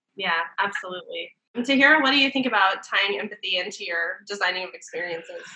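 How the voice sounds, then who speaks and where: The woman speaks very fast. Pauses are hardly present at all. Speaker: co-host. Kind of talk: casual panel chat.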